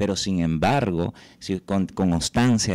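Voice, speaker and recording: On a very clean, dry, close recording with a silent background and no echo, a man with a Venezuelan accent speaks at a fairly slow pace in a very deep, low pitch, his tone dark and mellow and his intonation lively. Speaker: journalist, podcast host. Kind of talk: interview.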